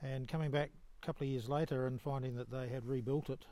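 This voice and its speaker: This man speaks at a moderate pace with a New Zealand accent. His pitch is fairly high, and his tone is dark and mellow. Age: 70s. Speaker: long-distance hiker. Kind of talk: casual interview. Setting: trail hut with other hikers.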